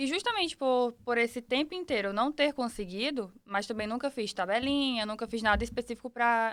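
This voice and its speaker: With an ordinary speaking voice, a woman talks at a fairly quick pace in a fairly high pitch with ordinary pitch variation. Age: 20s. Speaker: podcast guest, mother. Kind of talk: casual interview.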